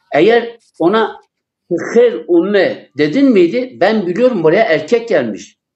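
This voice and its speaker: His intonation moves in a lively way. The man's voice is pitched high. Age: 70s. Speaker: poet. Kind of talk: live TV interview.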